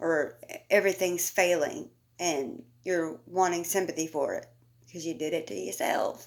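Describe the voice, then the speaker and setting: The words come out mumbled. The pace is moderate. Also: woman. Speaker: commentary YouTuber. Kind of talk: casual commentary rant. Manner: mumbling; animated.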